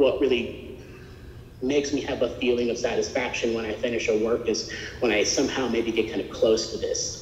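An American-accented man talks at a fairly quick pace with ordinary pitch variation, with audible room echo and light background noise. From North Texas (Graham); Texas. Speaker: sculptor and art professor; art professor. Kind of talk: artist lecture. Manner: casual, with fillers. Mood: reflective, earnest. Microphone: video call.

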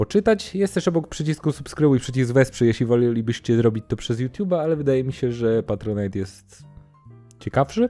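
A man at a fairly quick pace, faint music in the background. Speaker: perfume reviewer. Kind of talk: casual vlog chat. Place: home room. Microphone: studio mic.

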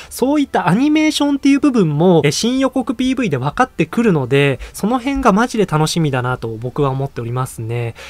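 A man's voice with very wide pitch swings at a fairly quick pace, in a dry sound with no echo. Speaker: anime news YouTuber. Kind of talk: casual video commentary. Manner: fast; animated. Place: home room.

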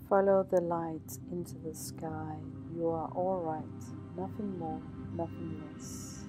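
With music behind her, a woman talks at a very slow pace. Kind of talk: ASMR positive affirmations. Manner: whispered, soft-spoken, slow.

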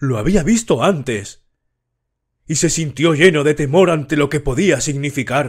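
A man with a fairly high pitch, ordinary pitch variation and a somewhat breathy voice, at a fairly slow pace. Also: very clean recording, silent background. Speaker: audiobook narrator. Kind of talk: horror audiobook narration, read aloud. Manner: slow, measured, somber storytelling.

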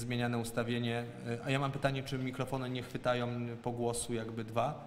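Medium-pitched man at a moderate pace, monotone and flat in intonation, with light background noise. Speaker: city council chairman. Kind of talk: formal council session chairing. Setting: council session with Zoom and YouTube stream. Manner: formal. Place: hall. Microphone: echo, voice wavering on the stream.

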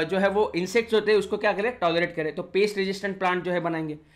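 Animated in tone, a man speaks at a high pitch. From India. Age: 20s. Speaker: online biology teacher. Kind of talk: lecture.

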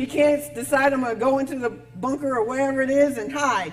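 Moderate pacing from a woman with a high-pitched voice. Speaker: pastor. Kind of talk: sermon. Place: church.

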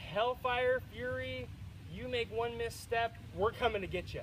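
With noticeable background noise in the recording, a man delivers his words fairly slowly. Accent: American. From United States. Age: 20s. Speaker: speaker at a veterans memorial event; speaker. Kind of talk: public speech to a crowd. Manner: animated. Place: open country. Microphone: camera far.

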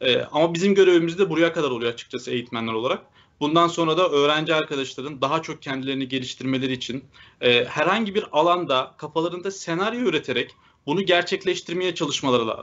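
At a very fast pace, a man with a fairly high pitch and ordinary pitch variation speaks over a quiet background. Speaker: data engineering instructor. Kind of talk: live Q&A answers. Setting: video call. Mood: reflective, positive. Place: home room. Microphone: video call.

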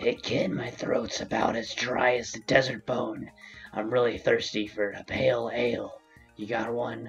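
A put-on character voice, low and raspy, moves at a moderate pace over faint background music. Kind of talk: gameplay commentary, reading in-game letter. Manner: gruff, wry.

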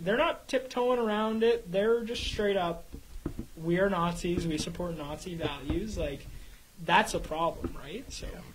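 A man with a Canadian accent speaks at a moderate pace and ordinary pitch variation amid noticeable background noise. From Canada. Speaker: radio show co-host. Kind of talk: casual chat. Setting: studio. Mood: concerned, earnest. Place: studio. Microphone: studio mic.

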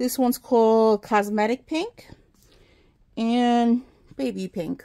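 A woman's fairly high-pitched voice with a dark, mellow tone. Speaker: crafting YouTuber. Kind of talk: casual haul video talk to camera. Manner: casual, chatty with fillers. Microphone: phone near.

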